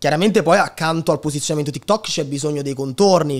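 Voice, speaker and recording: A man talks at a very fast pace. His pitch varies in an ordinary way, and the background is quiet. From Italy, Lazio (Sora, Frosinone); Lazio. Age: 20s. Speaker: digital entrepreneur and content creator; content creator. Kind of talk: casual interview chat. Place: studio. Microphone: studio mic.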